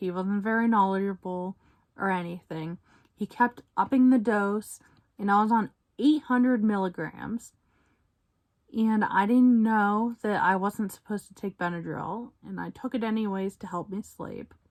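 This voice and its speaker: A medium-pitched woman at a fairly slow pace, ordinary pitch variation and big swings in loudness, on a very clean recording with a silent background. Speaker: vlogger. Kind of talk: personal testimony. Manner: halting.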